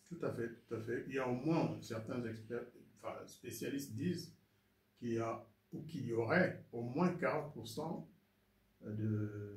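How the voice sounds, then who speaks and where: With noticeable background noise and audible room echo, a man speaks in a medium pitch at a fairly slow pace, leaving long, frequent pauses. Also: ordinary pitch variation. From Rwanda. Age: 70s. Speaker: former ambassador. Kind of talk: interview testimony. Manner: hesitant, many fillers.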